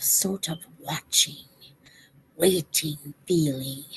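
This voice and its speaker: In a put-on character voice, a woman growls at a very slow pace, her pitch very deep and low and her intonation fairly even. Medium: read story. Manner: hesitant, worried.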